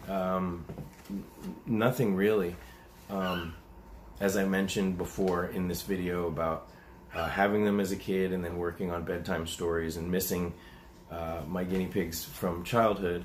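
Over light background noise, a man with a very deep, low pitch and fairly even intonation speaks at a moderate pace with long, frequent pauses. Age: 40s. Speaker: animal rescuer and YouTuber; YouTuber. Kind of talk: casual Q&A monologue. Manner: hesitant, many fillers. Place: home room. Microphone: webcam.

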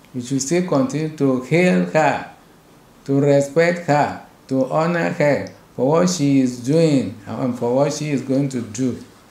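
A man speaks at a fairly slow pace with ordinary pitch variation, and audible room echo surrounds his voice. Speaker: bishop. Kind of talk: sermon. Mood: earnest, exhorting. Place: office.

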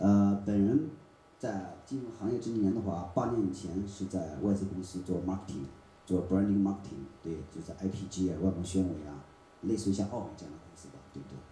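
A man with a very deep, low voice talks at a fairly quick pace amid light background noise and audible room echo. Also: ordinary pitch variation, big swings in loudness. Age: 40s. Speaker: film producer and marketer; presenter. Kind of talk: forum talk. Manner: repeats words when speaking. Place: hall.

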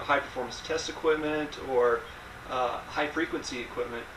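A man speaks at a moderate pace. Audible room echo and light background noise are present. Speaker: presenter. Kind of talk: explanatory answer in group video chat. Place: workshop. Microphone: camera far.

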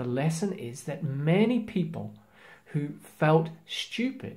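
Speaking slowly, a man with a fairly high pitch uses lively intonation and a slightly mellow tone.

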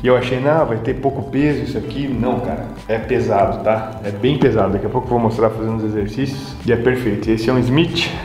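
A man at a fairly quick pace with hardly any pauses and ordinary pitch variation, amid audible room echo and light background noise. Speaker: fitness vlogger. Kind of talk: casual vlog chat, tour. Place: gym. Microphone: phone near.

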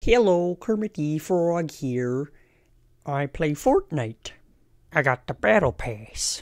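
Someone uses a put-on character voice at a middle pitch and a fairly slow pace. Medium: voice reel.

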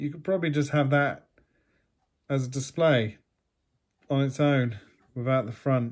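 A man with a British accent speaks against a quiet background. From UK. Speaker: YouTube collectibles unboxer. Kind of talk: casual unboxing talk to camera. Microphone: phone near.

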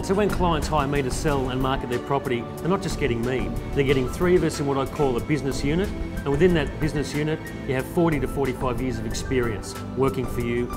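Against clear music in the background, a man talks at a very fast pace. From Australia. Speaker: real estate agent and auctioneer. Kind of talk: corporate agent profile talk to camera. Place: office.

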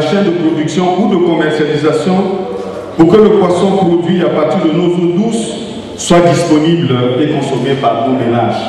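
A man with a high-pitched voice talks at a fairly slow pace and ordinary pitch variation, with strong room echo and light background noise. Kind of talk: formal speech. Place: hall.

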